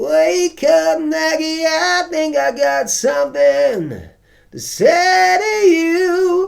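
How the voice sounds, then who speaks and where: A put-on character voice, nasal and high, at a very slow pace. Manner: placing the voice forward in the face.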